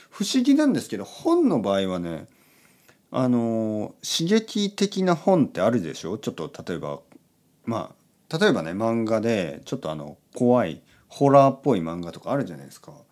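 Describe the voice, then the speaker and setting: The recording is very clean with a silent background. A man talks in a relaxed tone at a moderate pace, his loudness swinging widely. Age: 40s. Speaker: podcast host for Japanese learners. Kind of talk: casual bedtime monologue.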